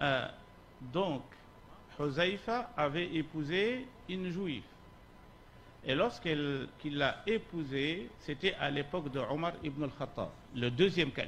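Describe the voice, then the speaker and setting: In a room with audible echo, a man with a fairly high pitch speaks at a very slow pace with lively intonation and long, frequent pauses. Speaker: Islamic scholar, lecturer. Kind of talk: lecture. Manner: slow, deliberate.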